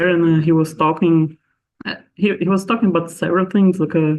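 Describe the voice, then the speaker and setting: Speaking with a Portuguese accent, a man keeps a moderate pace and fairly even intonation at a fairly high pitch. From Brazil. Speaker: astronomer. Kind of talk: interview. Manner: halting, many fillers.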